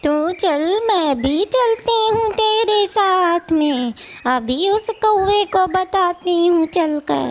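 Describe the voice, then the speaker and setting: A cartoonish character voice. The pace is very slow. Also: female-sounding voice, extremely high pitch for a woman. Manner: forceful, sharp.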